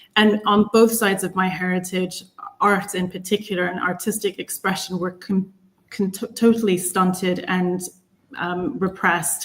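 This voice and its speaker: A woman with an American accent, somewhat breathy and medium in pitch, at a moderate pace with monotone, flat intonation. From United States. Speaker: panelist. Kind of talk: panel discussion.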